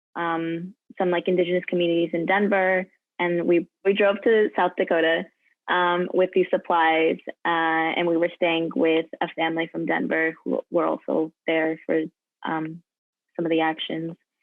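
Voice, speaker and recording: A woman's fairly low voice in monotone, flat intonation at a moderate pace, with music in the background. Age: 20s. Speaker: college student. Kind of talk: interview answer.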